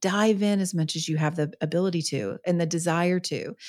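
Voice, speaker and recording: In a very clean recording with a silent background, a woman with a fairly low pitch uses a normal speaking voice and ordinary pitch variation. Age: 40s. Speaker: author and podcaster. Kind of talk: interview conversation.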